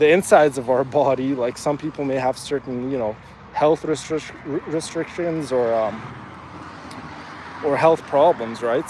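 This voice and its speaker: Over noticeable background noise, a man talks at a moderate pace and medium pitch with ordinary pitch variation, leaving long, frequent pauses. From Afghanistan. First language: Farsi. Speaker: fitness streamer. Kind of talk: live stream chat. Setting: outdoors, walking in neighborhood. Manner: halting, many fillers.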